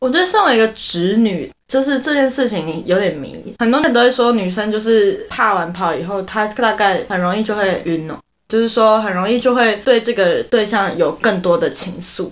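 A woman speaks with hardly any pauses. Her pitch is fairly high. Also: lively intonation, moderate pace. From Taiwan. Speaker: podcast co-host. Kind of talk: casual chat.

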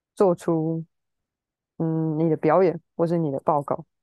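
A woman's fairly low-pitched voice with a dark, mellow tone, dry and close with no echo, over a quiet background. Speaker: musician. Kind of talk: casual chat.

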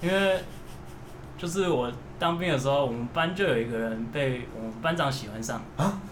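A man with a fairly high pitch speaks with lively intonation and long, frequent pauses, over noticeable background noise and audible room echo. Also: moderate pace. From Taiwan. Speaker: emigrant friend sharing experiences. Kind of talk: casual chat.

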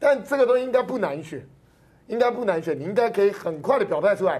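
Lively in intonation and very fast in pace, a man speaks at a high pitch. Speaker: political commentator. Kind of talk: casual political commentary.

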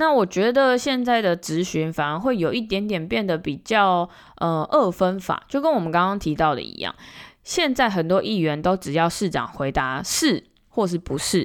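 A woman speaks at a moderate pace with very wide pitch swings on a very clean recording with a silent background. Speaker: podcast host and local politician. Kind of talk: solo commentary podcast.

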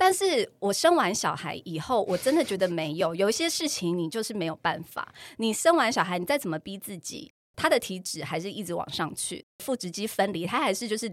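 The speaker talks at a fairly quick pace with hardly any pauses. Very wide pitch swings mark the delivery. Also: woman, medium pitch for a woman. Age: 40s. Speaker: podcast host. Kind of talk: casual chat.

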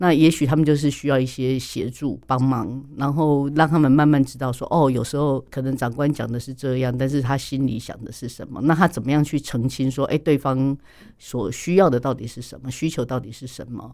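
On a very clean recording with a silent background, a man at medium pitch talks at a fairly quick pace with hardly any pauses. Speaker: speech therapist. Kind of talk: interview.

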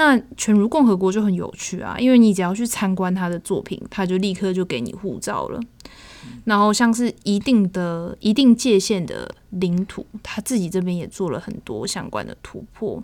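Speaking in a normal speaking voice at a moderate pace, a woman uses a medium pitch with ordinary pitch variation and big swings in loudness on a very clean recording with a silent background. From Taiwan. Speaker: exhibition review podcast host. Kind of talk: casual chat.

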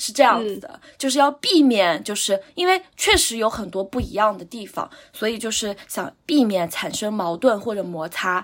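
A woman with a plain, everyday voice speaks at a fairly high pitch and moderate pace, with lively intonation, big swings in loudness and hardly any pauses. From Anhui, near Huangshan (small county town). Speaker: guest sharing life experience. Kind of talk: casual chat.

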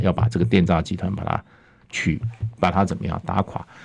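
In a very deep, low voice, a man speaks with ordinary rises and falls in pitch. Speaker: international affairs expert, former ambassador. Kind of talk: talk radio interview. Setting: radio studio.

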